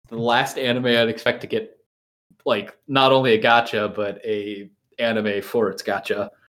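A man at a moderate pace with flat, monotone intonation. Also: medium pitch for a man. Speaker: podcast host. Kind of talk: casual chat.

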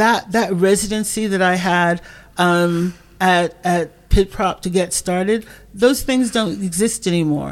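An ordinary speaking voice from a woman, medium in pitch, at a fairly slow pace. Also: fairly even intonation. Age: 60s. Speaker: literature organization worker and writer. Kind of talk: casual chat.

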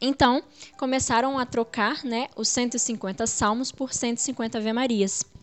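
A woman's high-pitched voice moves along at a very slow pace, its intonation fairly even. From Brazil, Espírito Santo (Muniz Freire). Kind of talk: religious teaching interview. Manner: frequent fillers and hesitations.

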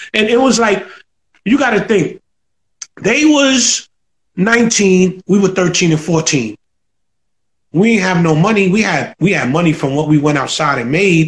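With lively intonation and a high pitch, a man speaks at a fairly slow pace at very even loudness, taking long, frequent pauses. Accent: Bronx. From New York, the Bronx (Soundview). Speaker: hip-hop producer. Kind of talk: casual interview. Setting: live stream.

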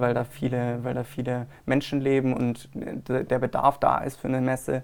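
A man at a moderate pace. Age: 20s. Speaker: wedding fair organizer. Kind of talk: interview. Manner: hesitant, many fillers.

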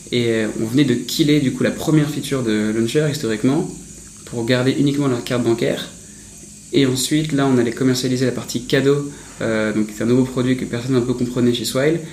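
Amid noticeable background noise and audible room echo, a man speaks fairly quickly at a medium pitch with fairly even intonation. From Paris. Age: 20s. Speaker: startup founder. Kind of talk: interview.

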